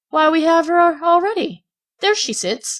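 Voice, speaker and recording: A woman speaks in a put-on character voice that is squeaky and extremely high. Her pace is moderate and her pitch varies in an ordinary way. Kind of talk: uneducated working-class speech. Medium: read story. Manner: rough, boastful.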